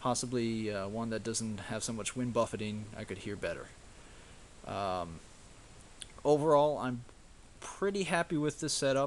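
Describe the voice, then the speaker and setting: A man at a fairly slow pace with ordinary pitch variation, over light background noise. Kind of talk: tutorial. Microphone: phone near.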